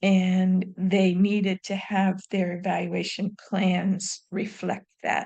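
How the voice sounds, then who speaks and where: Somewhat breathy and dark, mellow in tone, a woman at medium pitch speaks very slowly in a flat monotone with hardly any pauses. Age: 70s. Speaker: retired professor and evaluation consultant. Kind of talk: interview.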